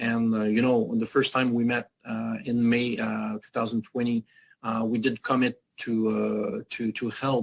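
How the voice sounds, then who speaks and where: In a French accent, the voice is monotone and flat, with a dry, close sound and no echo. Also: man, medium pitch for a man. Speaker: activist foundation leader. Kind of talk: panel interview. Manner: halting, many hesitations.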